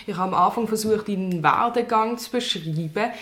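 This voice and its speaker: Noticeable background noise sits behind a woman with a Swiss German accent. Her pitch is fairly high and her pace moderate. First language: Swiss German (speaking German). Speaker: newspaper journalist. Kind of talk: interview.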